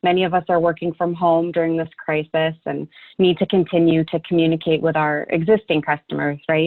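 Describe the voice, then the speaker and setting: A woman with an American accent speaks fairly quickly in a fairly low pitch, her intonation flat and monotone. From California. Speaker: product marketing manager. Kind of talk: webinar presentation.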